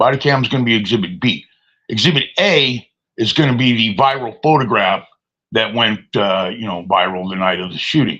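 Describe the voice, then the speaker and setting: A man's medium-pitched voice with lively intonation and a bright, sharp tone. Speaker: live streamer. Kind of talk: casual live stream monologue.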